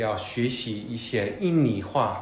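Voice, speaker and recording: A man at a very slow pace with lively intonation, amid noticeable background noise and audible room echo. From United States. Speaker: podcast host, corporate learning officer. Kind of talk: casual interview. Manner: halting, with many fillers.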